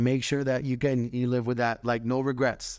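The recording is very clean, with a silent background. A man speaks at a fairly quick pace and a medium pitch. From Orlando, Florida. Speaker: professional dancer. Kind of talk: interview.

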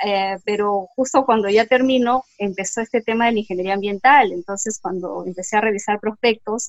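Speaking at a moderate pace with a Peruvian accent, a woman uses a medium pitch and ordinary pitch variation, in a dry, close sound with no echo. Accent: Peruvian Spanish (Lima). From Peru, Lima. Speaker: environmental engineer. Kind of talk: interview. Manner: hesitant, many fillers.

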